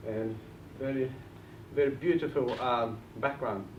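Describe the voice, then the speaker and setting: With audible room echo around him, a man speaks at a moderate pace and medium pitch with fairly even intonation. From Bulgaria, village. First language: Bulgarian. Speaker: property investor and trainer. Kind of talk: seminar talk.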